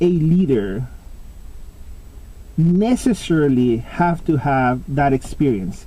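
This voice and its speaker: With a Spanish accent, a man talks using very wide pitch swings. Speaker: pipe smoking vlogger. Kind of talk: casual monologue vlog. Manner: halting, with many fillers.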